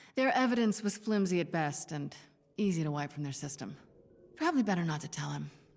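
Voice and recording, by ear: A woman does a put-on character voice at a low pitch, with a slightly mellow tone and vocal fry. She talks at a fairly quick pace with lively intonation.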